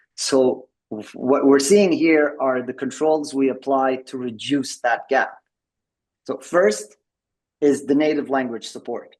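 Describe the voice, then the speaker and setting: Speaking very slowly with long, frequent pauses, a man with a French accent uses a fairly high pitch. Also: ordinary pitch variation. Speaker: tech company executive presenting a product. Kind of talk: presentation at an online member meeting. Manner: halting, with many repeated words and fillers.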